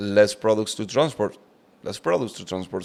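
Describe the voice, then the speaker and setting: A man with a Cuban accent speaks at a fairly low pitch. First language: Spanish. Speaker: truck driver and podcaster. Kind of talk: commentary video explaining economics. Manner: repetitive, halting.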